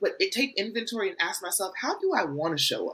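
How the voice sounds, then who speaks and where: A woman talks loudly. Her pace is very fast. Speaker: transformation coach. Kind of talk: casual chat.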